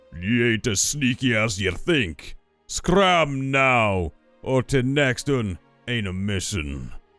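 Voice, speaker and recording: A man uses a put-on character voice at medium pitch, talking at a very slow pace. Faint music plays in the background. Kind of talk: slangy. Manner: threatening, gruff.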